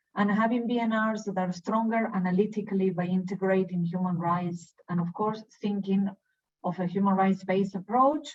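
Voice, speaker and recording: Somewhat breathy, a woman speaks at medium pitch. Her pace is fairly quick, with ordinary pitch variation. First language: Spanish. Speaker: UN human rights officer. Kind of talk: webinar presentation.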